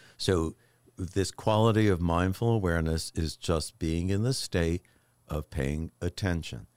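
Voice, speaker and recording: A man's very deep, low voice at a fairly slow pace, with ordinary pitch variation, dry and close with no echo, on a very clean recording over a silent background. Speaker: mindfulness and meditation expert. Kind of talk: podcast conversation. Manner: smooth, relaxing way of talking.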